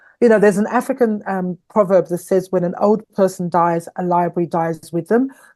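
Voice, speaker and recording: A woman talks in a dark, mellow tone at a moderate pace with ordinary pitch variation. The sound is dry and close, with no echo. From Nigeria, then London from age nine. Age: 50s. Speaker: founder of an ageing community, former model. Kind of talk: podcast interview.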